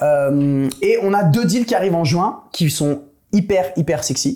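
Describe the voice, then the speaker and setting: A man with a dark, mellow tone and ordinary pitch variation speaks at a fairly slow pace on a very clean recording with a silent background. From France. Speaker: investor panelist. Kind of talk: casual business panel chat.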